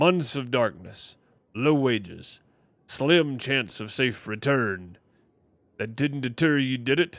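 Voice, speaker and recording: Using a put-on character voice at a medium pitch, a man speaks at a fairly slow pace with ordinary pitch variation and long, frequent pauses. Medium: game stream. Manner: blunt, probing.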